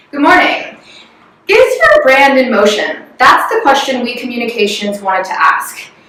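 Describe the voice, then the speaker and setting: A woman with an American accent speaks over noticeable background noise. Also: moderate pace. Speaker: corporate strategy executive. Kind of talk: corporate presentation.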